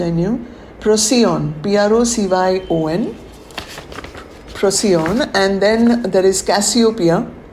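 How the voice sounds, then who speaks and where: Her medium pitch and ordinary pitch variation come through noticeable background noise and audible room echo as this woman speaks. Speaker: spiritual teacher leading a webinar. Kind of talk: webinar talk. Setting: online webinar.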